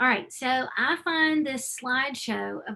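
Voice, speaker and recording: A woman's raised, projected voice with an Alabama accent, bright and sharp in tone, at a moderate pace. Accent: Southern US (Alabama). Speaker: nonprofit respite program founder. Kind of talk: webinar presentation. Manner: animated.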